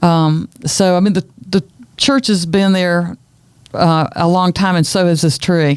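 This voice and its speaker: Speaking at a fairly slow pace, a woman with a fairly low voice keeps her loudness very even and her pitch variation ordinary. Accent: Southern. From US South, Wilkes County, North Carolina. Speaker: educator and heritage preservationist. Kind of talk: casual interview chat.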